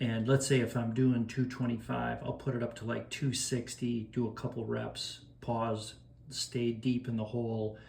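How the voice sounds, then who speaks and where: This man's medium-pitched voice is somewhat breathy, with a monotone, flat intonation and a moderate pace. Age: 60s. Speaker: masters powerlifter. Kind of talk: casual explanation of a training plan. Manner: casual, with filler hesitations.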